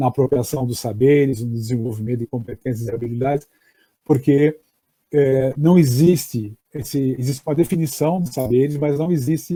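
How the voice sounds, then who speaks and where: Dry and close with no echo, a man's somewhat breathy, dark, mellow voice at a medium pitch moves fairly quickly with fairly even intonation. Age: 60s. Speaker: education professor. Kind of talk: lecture. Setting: online live stream. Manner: halting, many fillers.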